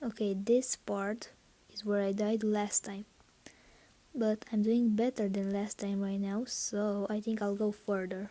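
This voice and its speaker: Speaking with a non-native accent at a fairly slow pace, a woman uses a medium pitch and a dark, mellow tone. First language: not English. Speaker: gaming YouTuber. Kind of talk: gameplay commentary. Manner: halting, many fillers; excited reactions.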